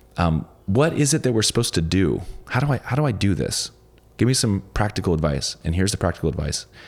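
In a very clean recording with a silent background, a man with vocal fry speaks at a very fast pace with very wide pitch swings. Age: 40s. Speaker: pastor. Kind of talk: podcast Bible teaching. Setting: room with hard ceiling.

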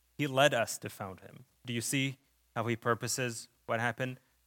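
Recorded very cleanly against a silent background with a dry, close sound and no echo, a man with a Lebanese accent speaks at a medium pitch in a bright, sharp tone. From Lebanon. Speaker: preacher. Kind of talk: sermon. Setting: church.

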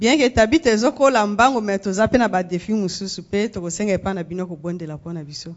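A woman at a medium pitch, very fast pace and hardly any pauses, with lively intonation and big swings in loudness. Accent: Congolese. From Congo. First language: Lingala. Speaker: women's ministry leader. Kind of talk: testimony. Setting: church.

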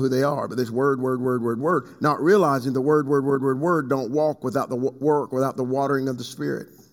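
A man talking at a very fast pace with hardly any pauses, over noticeable background noise. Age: 70s. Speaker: pastor. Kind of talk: sermon. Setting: church. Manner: animated.

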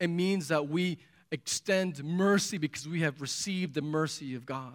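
An animated man speaks at a fairly slow pace. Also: very clean recording, silent background. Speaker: pastor. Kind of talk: sermon. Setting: church.

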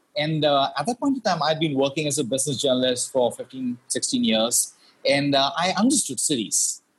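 Fairly high male pitch with lively intonation, a somewhat breathy quality, moderate pace and very even loudness. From India. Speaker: pastor and former business journalist. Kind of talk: interview.

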